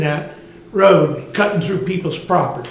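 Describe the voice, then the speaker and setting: A loud man with a high pitch and a Southern US accent, amid audible room echo and noticeable background noise. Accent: Southern American. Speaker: resident speaking at public comment. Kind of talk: public comment. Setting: council meeting, no microphone.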